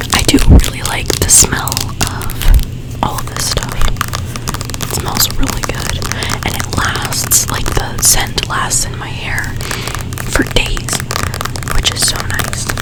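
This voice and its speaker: A woman whispers at a very slow pace. Music plays in the background. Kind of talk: ASMR hair care product talk. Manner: whispered, soft, casual.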